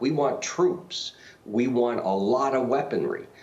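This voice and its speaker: There is audible room echo and noticeable background noise around a man talking at a medium pitch. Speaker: political analyst. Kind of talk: TV interview. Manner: hesitant, with stammering.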